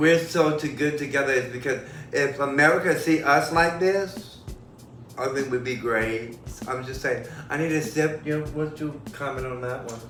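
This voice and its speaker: At a moderate pace, a man with a fairly high pitch talks in a room with audible echo and noticeable background noise. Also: ordinary pitch variation. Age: 50s. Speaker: guest friend. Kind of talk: casual chat. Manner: animated.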